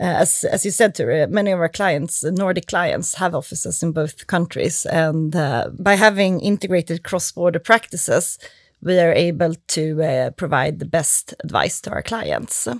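A woman with a Swedish accent at a moderate pace, ordinary pitch variation and hardly any pauses, in a dry, close sound with no echo. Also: fairly low pitch for a woman. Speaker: lawyer. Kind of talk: casual chat.

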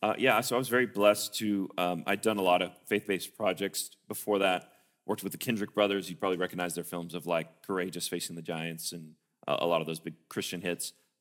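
A man with a very deep voice and a Tennessee accent, very fast and fairly even in intonation, on a very clean recording with a silent background. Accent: Southern US (Tennessee). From US South, Tennessee (Sparta). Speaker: film assistant director and producer. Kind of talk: interview in church service.

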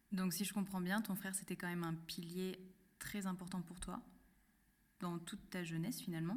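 A woman speaks at medium pitch and a moderate pace, her voice somewhat breathy. Her intonation is monotone and flat, with long, frequent pauses. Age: 20s. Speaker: podcast host. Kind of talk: interview.

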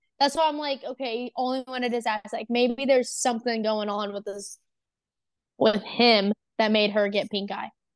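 With a plain, everyday voice, a woman speaks at a moderate pace, fairly high in pitch and fairly even in intonation, in a dry, close sound with no echo. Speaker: guest. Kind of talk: casual banter.

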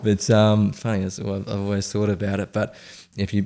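A man with a dark, mellow tone and a fairly low voice talks very fast in an Australian accent. The recording is very clean, with a silent background. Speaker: app founder, former financial planner. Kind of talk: podcast interview.

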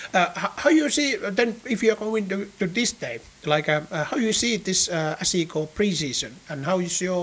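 With a Finnish accent, a man speaks at a moderate pace in a high pitch with lively intonation. Noticeable background noise is present. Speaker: podcast host. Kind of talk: announcements; interview.

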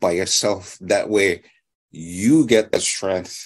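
A man with a fairly low pitch and a Hawaiian accent. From Hawaii, Molokai. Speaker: psychic and author. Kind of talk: interview storytelling. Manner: halting with many fillers.

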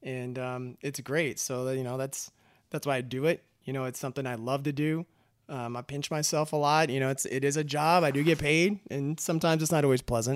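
A plain, everyday voice from a man with an American accent, fairly high in pitch, with fairly even intonation and a fairly quick pace, in a very clean recording with a silent background. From Texas, Austin. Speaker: automotive industry manager. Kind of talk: casual interview. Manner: casual, many filler words.

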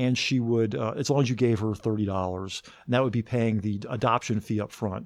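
Speaking with an American accent, a man holds a medium pitch with ordinary pitch variation. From US South, Athens, Georgia. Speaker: investigative TV reporter. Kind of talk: interview. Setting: studio. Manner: hesitant, many fillers.

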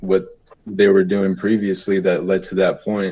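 With a plain, everyday voice, a man talks at a fairly low pitch and with fairly even intonation. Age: 20s. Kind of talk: casual group chat.

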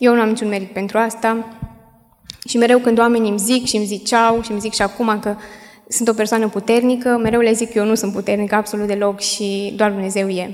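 A woman at a fairly high pitch, flat and monotone at a fairly quick pace, with music in the background. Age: 20s. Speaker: young widow giving church testimony. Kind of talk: testimony. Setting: church. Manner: halting.

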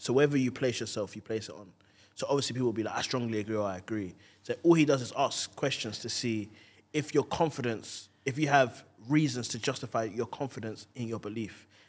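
The speaker is a man with a medium pitch. He talks fairly quickly, and his pitch varies in an ordinary way. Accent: London. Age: 20s. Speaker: stand-up comedian. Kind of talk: casual chat.

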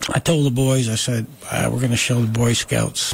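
Noticeable background noise runs under this recording. A man with an American accent speaks at a moderate pace. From US Northeast, Catskills, Delaware County New York. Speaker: wood artist. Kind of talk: casual chat.

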